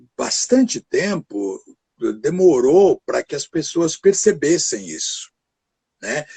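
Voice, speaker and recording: A man speaks very slowly in a dark, mellow tone, his pitch swinging very widely. The sound is dry and close, with no echo. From Brazil, São Paulo state interior (Pinhal). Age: 70s. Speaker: actor. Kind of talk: interview conversation. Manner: halting, many fillers.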